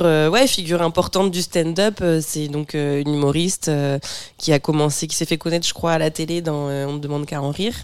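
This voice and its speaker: Over noticeable background noise, a woman talks at a moderate pace and a fairly low pitch, with ordinary pitch variation. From Normandy, France (Bernay). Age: 30s. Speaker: stand-up comedian. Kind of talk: casual chat.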